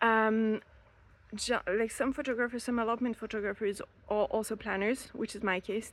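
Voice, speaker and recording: Here a woman speaks with a French accent at a moderate pace. Her pitch is fairly high, and her intonation is monotone and flat. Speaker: elopement photographer and planner. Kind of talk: casual podcast advice talk. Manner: hesitant, many fillers.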